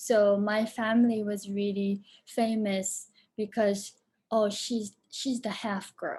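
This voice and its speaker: A woman speaks with a fairly high pitch and a somewhat breathy quality. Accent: Japanese. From Japan, moved to Boston at about 13. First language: Japanese. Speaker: film director and performer. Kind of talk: Q&A interview.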